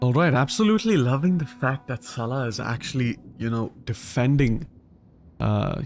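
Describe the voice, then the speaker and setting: Recorded very cleanly against a silent background, a man with an Indian accent speaks at a moderate pace in a dark, mellow tone. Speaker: gaming streamer. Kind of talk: live gameplay commentary. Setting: live stream. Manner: casual, conversational.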